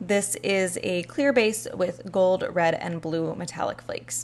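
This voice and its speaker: Intonation rises and falls in a lively way. It is an unremarkable speaking voice. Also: woman. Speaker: beauty youtuber. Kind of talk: product review.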